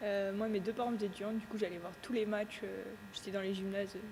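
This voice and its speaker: Amid noticeable background noise, a woman of medium pitch talks fairly quickly in a monotone, flat intonation. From France, Yonne (Auxerre). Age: 20s. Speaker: handball player. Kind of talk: interview.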